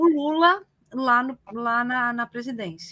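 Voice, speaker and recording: A woman's high, bright and sharp voice, raised and projected, at a fairly slow pace. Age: 60s. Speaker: retired teacher and political activist. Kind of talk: casual interview on live stream. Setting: live online broadcast. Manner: hesitant, many fillers.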